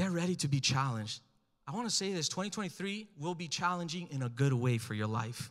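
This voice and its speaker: Fairly high for a man, his voice is animated and makes very wide pitch swings. He talks at a fairly quick pace over a quiet background. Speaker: pastor. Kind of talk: sermon. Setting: church with live congregation. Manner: animated, urgent, exhortative preacher cadence, pressing the crowd for amens. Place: church. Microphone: handheld.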